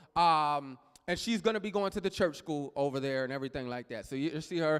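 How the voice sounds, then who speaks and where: A man talks loudly in an animated tone with an American accent. The recording is very clean, with a silent background. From Texas. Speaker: pastor. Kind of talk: sermon. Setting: church. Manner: loud, animated.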